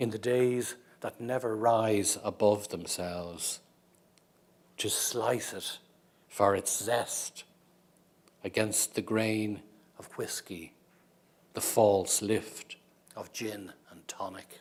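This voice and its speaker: Speaking in an Irish accent at a very slow pace, the voice keeps a fairly even intonation, with big swings in loudness and long, frequent pauses. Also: man, fairly low pitch for a man. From Ireland. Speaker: poet. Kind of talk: poetry reading.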